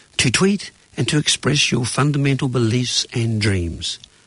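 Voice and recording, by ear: A man's medium-pitched voice, fairly bright in tone, with lively intonation at a fairly slow pace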